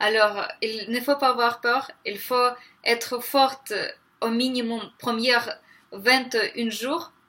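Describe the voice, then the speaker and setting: With a Ukrainian accent, a woman talks very slowly in a high, bright, sharp voice with fairly even intonation. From Ukraine. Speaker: vegan vlogger. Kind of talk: motivational vlog monologue. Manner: hesitant, many 'euh' fillers.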